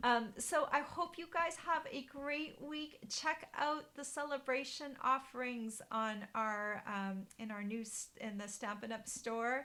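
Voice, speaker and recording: A woman with a high pitch and a bright, sharp tone speaks at a very slow pace with ordinary pitch variation. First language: German. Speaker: card-making demonstrator. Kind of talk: live stream craft tutorial chat. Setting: Facebook live stream. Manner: casual, hesitant with many fillers. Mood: cheerful, friendly. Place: home room. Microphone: webcam.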